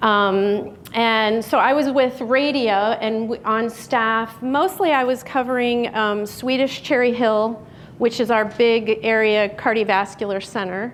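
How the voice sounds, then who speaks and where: Speaking fairly slowly in a Chicago accent, a woman keeps a fairly high pitch and fairly even intonation. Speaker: physician and radiologist. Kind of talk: public talk.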